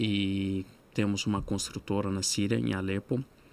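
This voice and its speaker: A man speaks very slowly in a fairly low voice. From Syria, Aleppo. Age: 30s. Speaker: refugee guest speaker. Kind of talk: podcast interview. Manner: hesitant, many filler sounds.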